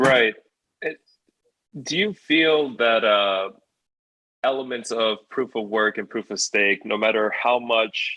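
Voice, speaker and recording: A man at a fairly slow pace, with fairly even intonation. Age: 20s. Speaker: podcast host. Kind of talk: interview. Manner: halting, many fillers.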